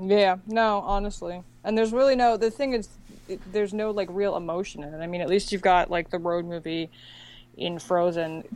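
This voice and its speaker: A woman talks at a fairly quick pace in a normal speaking voice, medium in pitch with ordinary variation. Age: 20s. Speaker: animation podcast guest. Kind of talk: casual chat.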